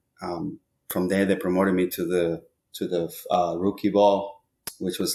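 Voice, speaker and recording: In a dark, mellow tone with a Spanish accent, the speaker talks at a fairly slow pace with ordinary pitch variation. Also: man. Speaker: baseball hitting coach. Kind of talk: podcast interview. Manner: hesitant, many fillers.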